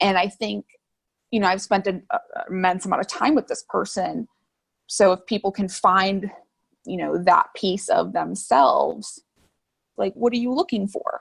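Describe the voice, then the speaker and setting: A woman with an American accent speaks at a moderate pace with long, frequent pauses, in a dry, close sound with no echo. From US Midwest, Chicago suburbs. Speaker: artist and social media creator. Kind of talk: interview conversation. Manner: loud.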